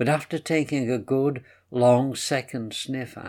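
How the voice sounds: Fairly even intonation in a natural reading voice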